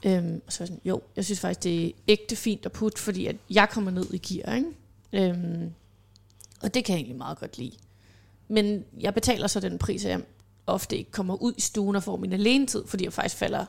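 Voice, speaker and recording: The voice has vocal fry and ordinary pitch variation and moves at a moderate pace. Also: woman. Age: 30s. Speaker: self-employed mother, podcast guest. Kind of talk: casual chat.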